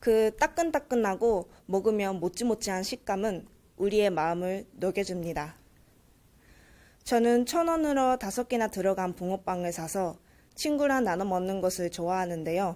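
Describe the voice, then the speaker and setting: A woman speaks at medium pitch with a dark, mellow tone and lively intonation, at a fairly slow pace. The recording is very clean, with a silent background. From Japan. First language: Japanese (speaking Korean). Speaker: university student, speech contestant. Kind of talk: speech contest speech.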